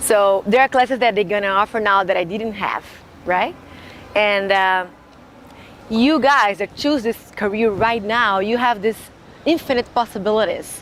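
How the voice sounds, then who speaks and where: With a Brazilian Portuguese accent, a woman with a fairly high voice talks at a moderate pace with ordinary pitch variation and long, frequent pauses. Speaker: graduate student. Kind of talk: interview monologue. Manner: halting, with fillers and restarts.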